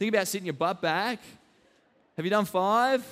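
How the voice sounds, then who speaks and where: A man speaks with an Australian accent. His pitch is high, with ordinary variation. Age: 20s. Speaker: fitness trainer. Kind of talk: live fitness talk and demo. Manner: casual, filler-heavy.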